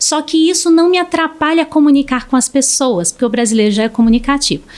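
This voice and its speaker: Over noticeable background noise, the voice races along very fast with lively intonation and very even loudness. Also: woman, high pitch for a woman. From Brazil. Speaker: speech therapist. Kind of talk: podcast interview.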